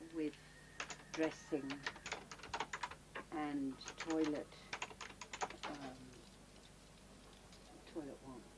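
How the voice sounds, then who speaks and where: A woman speaks at a very slow pace and a very deep, low pitch with monotone, flat intonation. Long, frequent pauses break her speech, and there is noticeable background noise. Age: 70s. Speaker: charity founder. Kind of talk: dictation.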